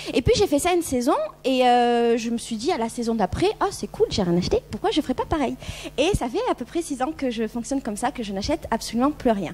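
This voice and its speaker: Over noticeable background noise, a woman talks at a fairly quick pace in a high voice with very wide pitch swings. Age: 30s. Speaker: YouTuber and blogger on minimalism. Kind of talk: conference talk. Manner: casual, hesitant with many fillers.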